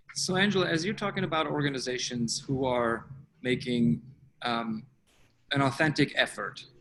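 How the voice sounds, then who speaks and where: A man speaks at a moderate pace with a non-native accent and a fairly high pitch. His intonation is lively, broken up by long, frequent pauses. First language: not English. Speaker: webinar host. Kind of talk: interview.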